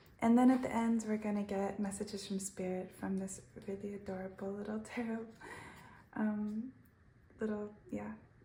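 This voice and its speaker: A woman with a medium pitch speaks in a monotone, flat intonation at a moderate pace. Her long, frequent pauses sit in audible room echo. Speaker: tarot reader. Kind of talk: tarot reading. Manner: halting.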